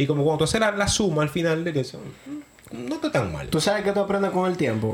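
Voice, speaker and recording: The man's delivery is very fast. There is a somewhat breathy quality to his voice. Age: 30s. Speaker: podcast co-host. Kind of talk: casual chat.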